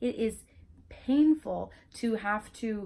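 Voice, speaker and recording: A woman speaks with a Spanish accent. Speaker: YouTuber. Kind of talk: casual vlog talk. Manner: halting, with fillers and restarts.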